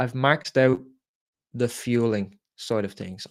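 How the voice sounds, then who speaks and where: A man with an Irish accent at medium pitch and a moderate pace, on a very clean recording with a silent background. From Ireland. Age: 20s. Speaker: entrepreneur. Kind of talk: motivational talk.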